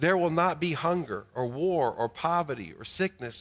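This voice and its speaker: Someone with a North Carolina accent speaks at a moderate pace in a very clean recording with a silent background. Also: man. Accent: North Carolina Southern. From US South, Greensboro, North Carolina. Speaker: pastor. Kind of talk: sermon. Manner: frequent hesitations with uh.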